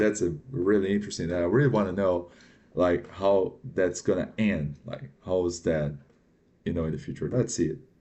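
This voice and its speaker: A man with a non-native accent speaks at a moderate pace in a very deep, low voice, his pitch rising and falling in an ordinary way. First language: not English. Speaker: reaction video commentator. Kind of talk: reaction commentary. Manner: halting, with many fillers.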